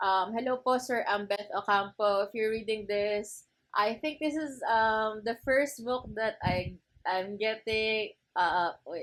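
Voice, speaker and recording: A woman with a Filipino accent speaks at a fairly high pitch. Her pace is fairly slow, with ordinary pitch variation. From Philippines. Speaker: book vlogger. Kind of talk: casual chat. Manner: animated.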